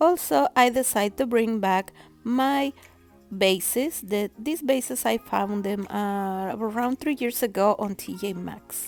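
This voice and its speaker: A woman speaking at a fairly slow pace, with music in the background. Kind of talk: home decor voiceover.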